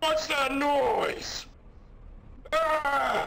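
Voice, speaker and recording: A man uses a put-on character voice at an extremely high pitch. Loud background noise runs behind him. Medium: role play. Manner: loud, emphatic.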